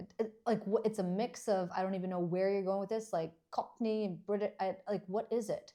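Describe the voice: On a very clean recording with a silent background, a woman talks at a fairly quick pace and medium pitch, her dark, mellow tone carrying fairly even intonation.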